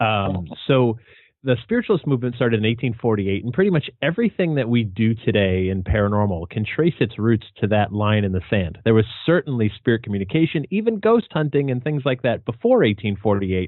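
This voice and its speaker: A man with an American accent speaks at a fairly quick pace in an ordinary speaking voice, his medium pitch carried by lively intonation. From New England, US. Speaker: paranormal author and researcher. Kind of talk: interview. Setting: podcast.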